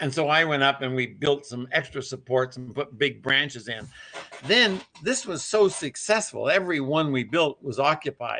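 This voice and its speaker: This is a man with a fairly high pitch. His tone is bright and sharp. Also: ordinary pitch variation, moderate pace. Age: 80s+. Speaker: eagle nest builder, wildlife conservationist. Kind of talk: interview.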